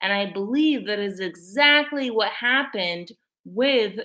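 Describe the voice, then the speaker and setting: A woman speaks loudly at a fairly slow pace. Her tone is bright and sharp. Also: very clean recording, silent background. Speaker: video blogger. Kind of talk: casual monologue to camera. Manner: filler-heavy, frequent likes and ums.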